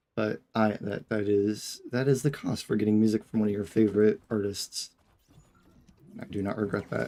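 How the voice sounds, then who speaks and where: A quiet man's voice, fairly low-pitched, with a dark, mellow tone, flat monotone delivery and a moderate pace. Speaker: gaming streamer. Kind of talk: casual live-stream chat.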